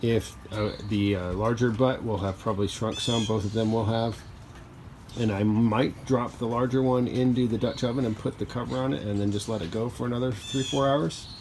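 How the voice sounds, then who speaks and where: At a moderate pace, a man with a medium-pitched voice and fairly even intonation speaks over noticeable background noise. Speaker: DIY cooking video host. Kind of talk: casual tutorial vlog.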